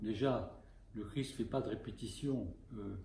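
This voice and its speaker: A man speaks at a very slow pace with lively intonation, his dark, mellow tone somewhat breathy, with audible room echo. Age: 70s. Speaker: Orthodox bishop and spiritual teacher. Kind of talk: spiritual talk. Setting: talk to a small group.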